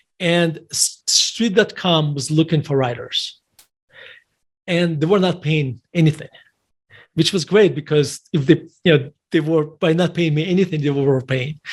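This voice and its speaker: Fairly slow speech comes from a man. His pitch sits fairly high. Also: ordinary pitch variation. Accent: non-native. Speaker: investor and author. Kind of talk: podcast interview. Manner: halting, many self-corrections.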